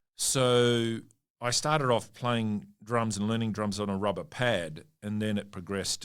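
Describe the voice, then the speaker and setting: With an Australian accent, a man speaks in fairly even intonation on a very clean recording with a silent background. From Western Australia (Perth), Italian family. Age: 60s. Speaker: mining company CEO. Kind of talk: interview. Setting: studio.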